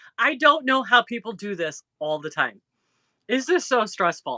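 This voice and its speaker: A woman's bright, sharp voice, fairly high-pitched with very wide pitch swings and vocal fry, in a Chicago accent at a moderate pace, with a dry, close sound and no echo. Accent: Chicago-area Midwest. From northern Indiana, near Chicago. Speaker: crochet YouTuber. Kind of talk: casual live-stream chat.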